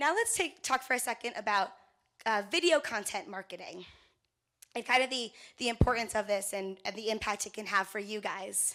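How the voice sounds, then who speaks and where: Bright and sharp in tone, the voice moves at a fairly quick pace with ordinary pitch variation in a very clean recording with a silent background. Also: woman, fairly high pitch for a woman. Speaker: conference speaker, event media company representative. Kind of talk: workshop presentation. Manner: fast; casual, conversational.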